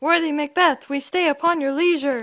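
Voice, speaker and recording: A woman's put-on character voice, high-pitched, at a moderate pace with fairly even intonation. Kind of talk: amateur Shakespeare reading. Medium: short film. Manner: measured, cautionary.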